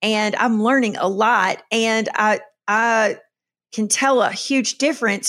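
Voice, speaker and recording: A woman with a Southern US accent speaks with ordinary pitch variation in a very clean recording with a silent background. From Kentucky. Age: 50s. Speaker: podcast host, minister. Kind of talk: solo podcast monologue. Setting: solo recording with camera and microphone. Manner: casual with frequent fillers.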